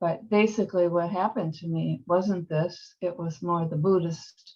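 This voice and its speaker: Fairly even intonation and a fairly slow pace mark this woman's delivery. Her voice is somewhat breathy, with a dark, mellow tone. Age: 70s. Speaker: workshop participant. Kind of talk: group sharing. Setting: video call. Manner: halting.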